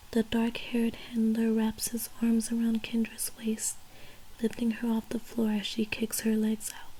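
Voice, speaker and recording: Mumbling at a moderate pace, a woman speaks with a fairly high pitch and monotone, flat intonation. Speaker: ASMR creator. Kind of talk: ASMR audiobook reading. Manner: occasional mumbles and pauses.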